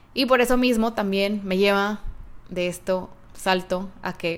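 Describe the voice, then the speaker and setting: Her voice at a medium pitch, a woman talks with fairly even intonation. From Mexico, Guadalajara, Jalisco. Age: 30s. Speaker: podcast host. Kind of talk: solo podcast monologue.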